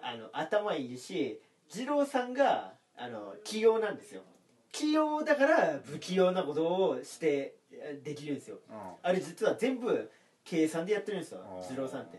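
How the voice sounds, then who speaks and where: At a moderate pace, a man with a high pitch speaks with very wide pitch swings and big swings in loudness. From Aomori. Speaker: comedian. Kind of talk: casual chat.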